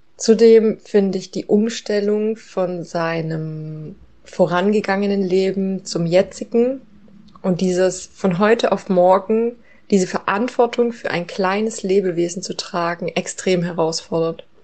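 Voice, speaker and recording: A woman at medium pitch talks at a fairly slow pace with fairly even intonation in a plain, everyday voice. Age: 30s. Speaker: mother. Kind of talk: recorded monologue.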